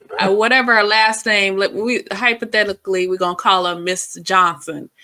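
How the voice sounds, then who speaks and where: Her voice has a bright, sharp tone at a medium pitch as the woman speaks at a moderate pace with fairly even intonation. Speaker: reaction commentator. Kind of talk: casual chat.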